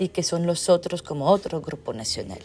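A woman speaks at a fairly low pitch with ordinary pitch variation and a moderate pace. Noticeable background noise can be heard. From Belgium. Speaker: anthropologist. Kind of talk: interview.

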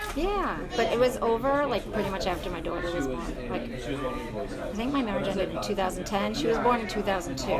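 A woman at medium pitch with very wide pitch swings and a moderate pace, over crowd noise. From Long Island, New York. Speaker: registered nurse, recovering alcoholic. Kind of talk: casual interview. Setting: diner.

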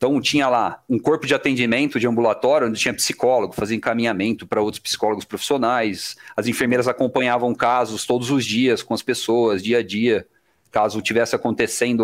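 Over a silent background in a very clean recording, a man with an unremarkable speaking voice talks at a fairly quick pace and medium pitch, his loudness very even and his speech broken by hardly any pauses. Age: 30s. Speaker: IT development manager. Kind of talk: casual interview.

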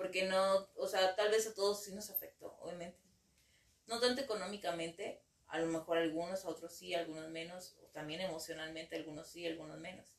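A woman's fairly low voice at a fairly quick clip, fairly even in intonation but with big swings in loudness. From Mexico, Ciudad Victoria, Tamaulipas. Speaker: psychologist. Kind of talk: interview. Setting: studio. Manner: halting, many fillers.

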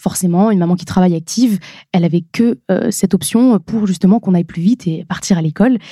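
A woman's medium-pitched, somewhat breathy voice with a dark, mellow tone, ordinary pitch variation and a very fast pace, in a dry, close sound with no echo. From northern France (Nord-Pas-de-Calais). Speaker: beauty influencer. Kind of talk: podcast interview.

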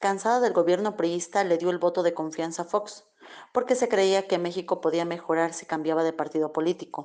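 A woman with an unremarkable speaking voice talks at a medium pitch. Her pace is moderate, with ordinary pitch variation. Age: 40s. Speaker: student's mother. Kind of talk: testimony. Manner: formal.

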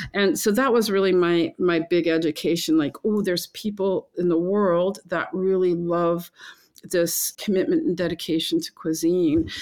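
In a normal speaking voice, a woman with a fairly low pitch talks with fairly even intonation on a very clean recording with a silent background. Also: moderate pace. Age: 60s. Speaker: lodge owner and chef. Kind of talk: casual interview conversation.

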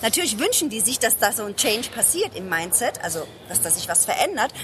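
Noticeable background noise can be heard. Over it, a woman speaks fairly quickly. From Germany, Ludwigshafen (Palatinate). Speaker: business consultant, speaker and lawyer. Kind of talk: casual interview. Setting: book fair.

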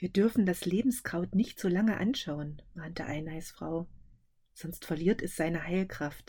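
The voice has a dark, mellow tone, somewhat breathy and theatrical. It moves at a fairly slow pace with ordinary pitch variation. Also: woman, fairly low pitch for a woman. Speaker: podcast host and fairy-tale reader. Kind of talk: dramatic fairy-tale narration, read aloud. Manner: vivid, theatrical storytelling with character voices.

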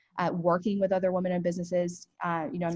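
With a Southern US accent, a woman talks at a very fast pace in a fairly low, flat monotone. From US South, southwest Georgia. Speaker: entrepreneur. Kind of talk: interview. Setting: video call.

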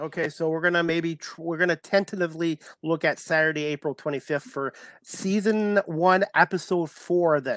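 A man talks in a high voice with fairly even intonation. The recording is very clean, with a silent background. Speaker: podcast host. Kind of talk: interview. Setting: live stream. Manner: fast.

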